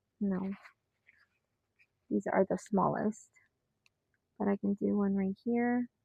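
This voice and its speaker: A woman talks at medium pitch in a monotone, flat intonation, with a dark, mellow tone and a somewhat breathy quality. Her loudness stays very even through long, frequent pauses, in a dry, close sound with no echo. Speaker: planner hobbyist YouTuber. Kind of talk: casual craft tutorial, thinking aloud. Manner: quiet; halting.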